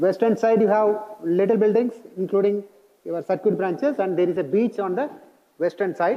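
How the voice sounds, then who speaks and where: With an Indian accent, a man talks at a high pitch and with ordinary pitch variation. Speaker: college staff member briefing new students on security. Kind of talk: orientation presentation. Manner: fast.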